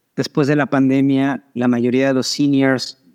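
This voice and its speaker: A man with a Mexican accent at medium pitch, monotone and flat, fairly slow, in a dry, close sound with no echo. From Mexico. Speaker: startup founder. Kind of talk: interview.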